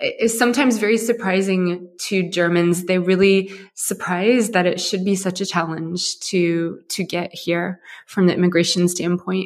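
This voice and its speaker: A woman with an American accent uses an ordinary speaking voice at a medium pitch, speaking at a moderate pace with fairly even intonation. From US, Ohio. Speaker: startup founder and CEO. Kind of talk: interview.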